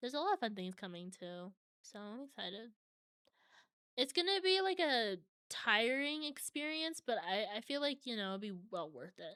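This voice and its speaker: A woman talks at a moderate pace with high pitch. Her pitch swings very widely. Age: 20s. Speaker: vtuber streamer. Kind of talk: casual live stream chat.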